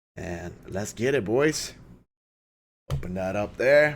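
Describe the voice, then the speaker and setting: The pitch swings very widely throughout. Vocal fry runs through the voice. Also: man. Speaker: reaction youtuber. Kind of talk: casual chat. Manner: animated.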